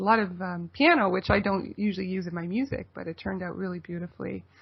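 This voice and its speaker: Somewhat breathy and medium in pitch, a woman talks at a very fast pace. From Toronto, Canada. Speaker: folk singer-songwriter. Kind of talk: radio interview.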